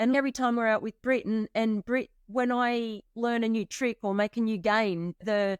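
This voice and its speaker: A woman with a fairly high pitch speaks at a moderate pace in an unremarkable speaking voice, the recording very clean with a silent background and a dry, close sound with no echo. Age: 50s. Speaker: skateboarder. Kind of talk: casual chat.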